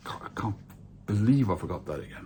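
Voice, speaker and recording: With a Norwegian accent, a man speaks in a fairly low voice with ordinary pitch variation. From Norway. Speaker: vinyl collector YouTuber. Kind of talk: casual monologue video. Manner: hesitant, many fillers.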